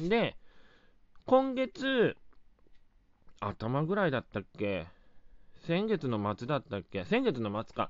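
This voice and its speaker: A man at a very slow pace, with long, frequent pauses and very wide pitch swings. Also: fairly high pitch for a man. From Japan, Wakayama (Shingu). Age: 30s. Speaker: comedian. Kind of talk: solo podcast talk. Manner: casual, filler-heavy.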